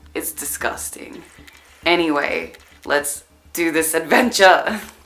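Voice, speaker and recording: A woman speaks very slowly, with noticeable background noise throughout. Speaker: DIY vlogger. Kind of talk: casual vlog. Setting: at home, sewing room. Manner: casual, filler-heavy.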